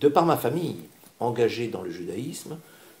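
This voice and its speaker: The man's tone is dark and mellow and somewhat breathy, and he talks at a moderate pace. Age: 60s. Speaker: candidate for community organization president. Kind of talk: interview. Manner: calm.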